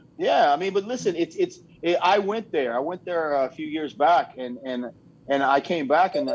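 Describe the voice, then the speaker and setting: This is a normal speaking voice from a man. He talks at a fairly quick pace with ordinary pitch variation. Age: 50s. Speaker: bodybuilder. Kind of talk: casual chat.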